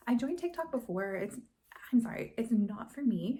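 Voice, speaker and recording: A woman's somewhat breathy voice with a dark, mellow tone, carrying audible room echo. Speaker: crochet designer and craft vlogger. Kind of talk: casual vlog chat. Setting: at home by a hallway closet. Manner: whispering.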